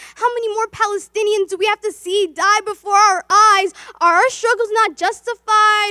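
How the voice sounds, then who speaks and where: A woman with an extremely high pitch projects a raised voice at a moderate pace, her tone bright and sharp and her intonation fairly even, in a dry, close sound with no echo. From Somalia. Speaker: spoken word poet. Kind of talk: spoken word poetry performance. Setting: virtual event. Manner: impassioned, rhythmic.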